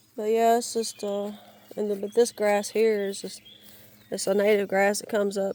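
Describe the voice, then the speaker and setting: The speech comes with a Southern US accent. Its intonation is monotone and flat. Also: woman. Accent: Southern US (Georgia). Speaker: YouTuber, outdoors/yard vlogger. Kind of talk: casual vlog narration. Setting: outdoors in the woods. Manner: halting, many false starts.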